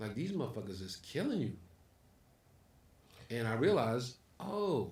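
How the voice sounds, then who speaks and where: With a New York accent, a man speaks at medium pitch and a moderate pace, somewhat breathy and with very wide pitch swings. Audible room echo can be heard. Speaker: comedy club owner and comedian. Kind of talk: casual chat. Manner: animated.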